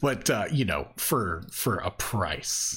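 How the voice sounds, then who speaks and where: A man speaks with vocal fry. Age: 40s. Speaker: video game podcast host. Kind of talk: casual chat. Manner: animated.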